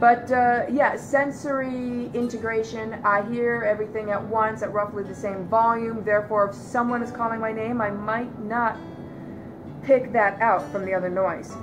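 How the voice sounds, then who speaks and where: Someone with an American accent speaks at a moderate pace with fairly even intonation. Music plays in the background, and the room echo is audible. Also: woman, fairly high pitch for a woman. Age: 40s. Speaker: vlogger. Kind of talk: personal testimony. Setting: living room loveseat. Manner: hesitant, many fillers.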